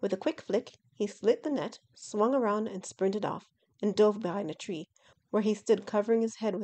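Plain reading aloud with fairly even intonation over a quiet background

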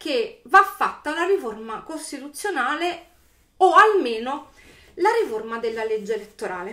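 With a bright, sharp tone, a woman talks at a fairly slow pace, her pitch swinging very widely against a quiet background. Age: 40s. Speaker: YouTuber; political commentator vlogger. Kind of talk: video commentary monologue. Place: home room. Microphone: webcam.

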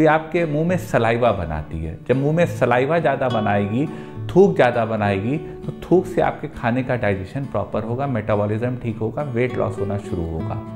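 Clear music plays behind the speaker. A man talks at a fairly slow pace. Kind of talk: health advice talk to camera. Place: office. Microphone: lapel.

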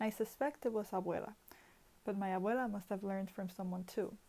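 A woman speaks in a monotone, with flat intonation. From Puerto Rico. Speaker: poet contributing to anthology. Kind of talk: poetry reading, performed poem. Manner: expressive, rhythmic, measured poetic delivery with pauses. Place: home room. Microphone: earbuds.

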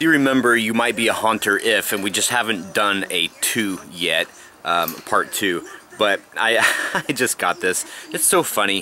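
Over faint music in the background, a man talks at a moderate pace, the sound dry with no echo. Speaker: vlogger. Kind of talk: casual vlog chat.

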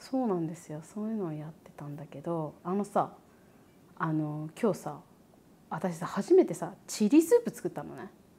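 At a moderate pace, the somewhat breathy voice shows big swings in loudness and ordinary pitch variation. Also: woman, fairly low pitch for a woman. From Japan. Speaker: YouTuber and podcast host. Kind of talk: casual chat.

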